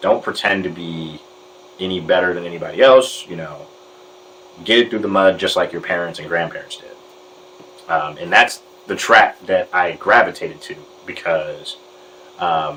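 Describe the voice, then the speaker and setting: With an American accent, the speaker goes at a moderate pace, taking long, frequent pauses and swinging widely in loudness. Noticeable background noise is present. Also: man. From Detroit, US Midwest. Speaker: journalist. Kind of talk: interview answer.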